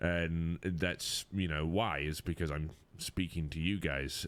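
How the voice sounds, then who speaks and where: The speech comes at a moderate pace with fairly even intonation on a very clean recording with a silent background. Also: man. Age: 30s. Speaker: podcast host, gamer. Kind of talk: casual chat.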